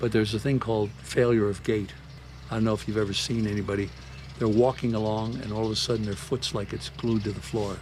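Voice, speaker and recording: A somewhat breathy man with an American accent talks at a very fast pace, his fairly low pitch showing ordinary pitch variation. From San Francisco. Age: 80s+. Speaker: army veteran, tango dancer. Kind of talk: interview answer. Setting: outdoors.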